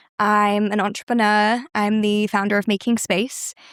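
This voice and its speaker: A woman's medium-pitched voice in a British accent, fairly even intonation, on a very clean recording with a silent background. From southern England, West Sussex. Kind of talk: interview chat.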